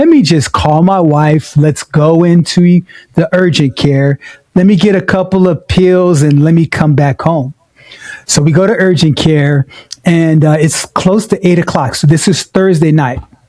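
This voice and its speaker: A man with an American accent talks at a fairly slow pace and high pitch, in a dry, close sound with no echo. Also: ordinary pitch variation, very even loudness. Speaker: podcast co-host. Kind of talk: casual chat.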